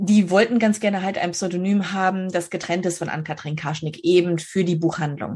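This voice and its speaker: A woman speaks with a northern German accent in a somewhat breathy voice. Her pitch is fairly low, and the background is quiet. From northern Germany, Schleswig-Holstein. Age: 30s. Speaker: novelist. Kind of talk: interview.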